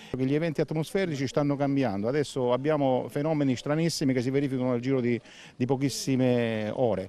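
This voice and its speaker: A man at a very fast pace, very even in loudness, with ordinary pitch variation and a dry sound with no echo. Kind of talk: interview answer. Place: open country.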